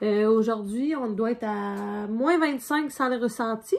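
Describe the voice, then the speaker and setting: Spoken in a Quebec accent, the speech moves at a fairly slow pace with ordinary pitch variation. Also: woman. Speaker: podcast co-host. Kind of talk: casual chat. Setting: cabin indoors. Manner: relaxed.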